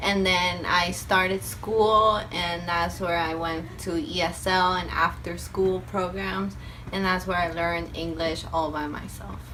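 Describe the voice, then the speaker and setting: Speaking with a Spanish accent and hardly any pauses, a woman is heard over noticeable background noise with audible room echo. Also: fairly slow pace. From Argentina. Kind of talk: interview answer.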